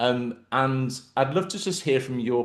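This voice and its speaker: Over a quiet background, a man speaks at a medium pitch with lively intonation. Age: 40s. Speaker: podcast host. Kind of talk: casual chat. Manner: halting.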